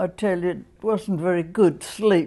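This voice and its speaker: A woman speaks with an Australian accent and fairly even intonation. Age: 80s+. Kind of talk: interview answer.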